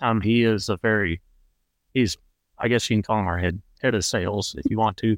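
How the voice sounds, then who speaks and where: A man with a Texan accent talks at a fairly quick pace and a medium pitch. The recording is dry and close, with no echo. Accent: Texan American. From Central Texas. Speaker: competitive trap shooter. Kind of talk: casual interview.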